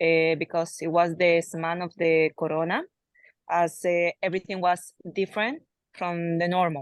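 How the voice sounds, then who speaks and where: A woman with a Spanish accent talks at a fairly slow pace in a fairly low voice. The sound is dry and close with no echo, and the background is quiet. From Colombia. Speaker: soldier. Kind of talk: personal testimony.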